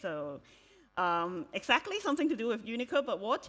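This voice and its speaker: A woman's bright, sharp tone with a Cantonese accent and very wide pitch swings. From Hong Kong. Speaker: software developer and conference speaker. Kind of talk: conference talk. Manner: hesitant, many fillers.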